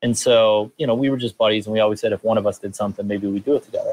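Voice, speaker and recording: A man with an American accent speaks at a medium pitch. The sound is dry and close, with no echo. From upstate New York, Rochester area. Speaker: startup co-founder. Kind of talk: interview. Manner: fast.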